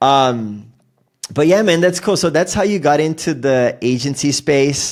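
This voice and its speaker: With a Portuguese accent, a man speaks at a fairly slow pace and fairly high pitch, keeping ordinary pitch variation and very even loudness. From Brazil, moved to US at 13. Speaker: podcast host. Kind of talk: casual interview chat.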